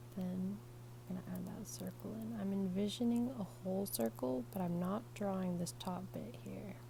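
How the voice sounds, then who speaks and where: Over noticeable background noise, a woman talks at a moderate pace in an American accent. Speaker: artist, drawing teacher. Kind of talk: ASMR drawing tutorial, casual instructional talk.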